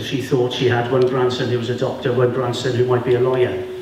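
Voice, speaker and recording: Amid noticeable background noise and audible room echo, a man with a medium pitch talks at a very fast pace. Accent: South Welsh. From Wales, Vale of Glamorgan. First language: Welsh. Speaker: sports lawyer. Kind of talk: school talk to pupils. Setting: school classroom audience.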